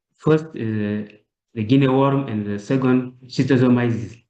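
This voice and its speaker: The speaker is a man of medium pitch. His tone is dark and mellow. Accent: French. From Chad. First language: French. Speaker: health sociology researcher, mentee. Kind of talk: presentation. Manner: halting.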